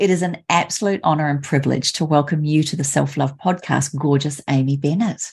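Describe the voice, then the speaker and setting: A woman's very deep, low pitch with ordinary variation, in an Australian accent. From Australia, Sunshine Coast Queensland. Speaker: podcast host. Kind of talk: interview.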